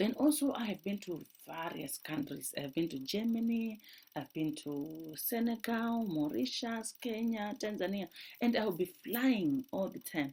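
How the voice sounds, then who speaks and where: Her pitch swings very widely as a woman speaks at a fairly slow pace. The tone is dark and mellow, somewhat breathy. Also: medium pitch for a woman. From Zimbabwe. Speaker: doctoral researcher. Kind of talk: personal testimony.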